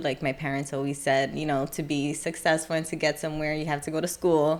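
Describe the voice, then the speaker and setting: A woman with a New York accent talks in a very deep, low pitch. Her intonation is monotone and flat, and there is noticeable background noise. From New York City (Brooklyn). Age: 20s. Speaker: hairstylist. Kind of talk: casual interview chat.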